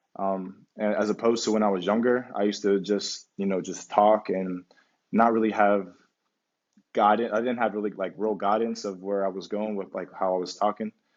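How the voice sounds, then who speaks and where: Intonation stays monotone and flat. The man moves at a moderate pace. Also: fairly low pitch for a man. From US, Pittsburgh area. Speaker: professional basketball player. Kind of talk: casual interview. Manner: quiet, thoughtful; halting, many fillers.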